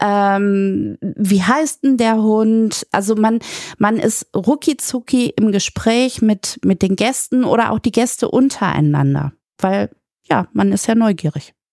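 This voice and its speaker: Very slow and very even in loudness, a woman speaks at a fairly high pitch with ordinary variation and a dark, mellow tone, in a dry, close sound with no echo. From Germany, Münster. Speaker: administrative manager. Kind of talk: interview.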